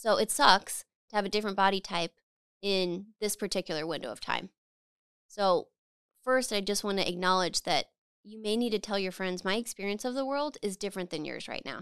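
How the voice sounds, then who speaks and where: A woman with an ordinary speaking voice at medium pitch, ordinary pitch variation and a fairly quick pace, dry and close with no echo in a very clean recording with a silent background. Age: 30s. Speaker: podcast host. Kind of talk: solo monologue podcast. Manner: casual, conversational.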